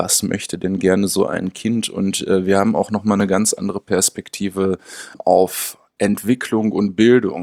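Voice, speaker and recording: In a dry, close sound with no echo, a man with a fairly low pitch speaks at a fairly slow pace with monotone, flat intonation. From Münster, Germany. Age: 30s. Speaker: special education researcher. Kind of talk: interview conversation.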